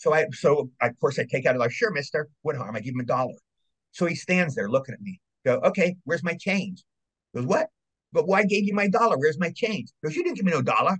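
Lively intonation marks this man's high-pitched voice. He speaks at a very fast pace. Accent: American. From Maryland, US. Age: 60s. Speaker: actor and voice actor. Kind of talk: casual interview chat, storytelling.

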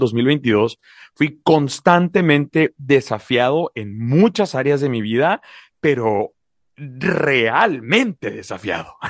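A fairly high-pitched man in a dry, close sound with no echo and a quiet background. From Mexico, La Paz, Baja California Sur. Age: 30s. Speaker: podcast co-host, public speaker. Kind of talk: podcast conversation. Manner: repeats words when starting sentences.

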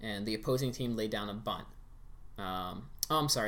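A man with an American accent talks at a fairly quick pace and a medium pitch. There is audible room echo. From Pittsburgh, US. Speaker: podcast guest. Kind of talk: casual chat.

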